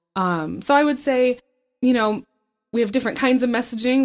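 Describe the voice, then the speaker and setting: A woman talks at a fairly quick pace with ordinary pitch variation. She has an unremarkable speaking voice. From grew up in Southeast Asia, born in Michigan. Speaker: university communications and outreach coordinator. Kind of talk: interview. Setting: office.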